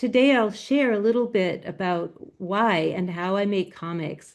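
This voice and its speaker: A woman talks at a fairly slow pace and medium pitch. Her pitch varies in an ordinary way, against a quiet background. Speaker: graphic novelist and comics educator. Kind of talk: presentation talk. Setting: video call.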